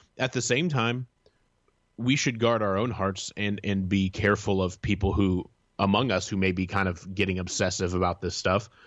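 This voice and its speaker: At a moderate pace, a man talks in a plain, everyday voice, fairly low in pitch, with fairly even intonation. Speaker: content editor and newsletter author. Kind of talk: interview discussion.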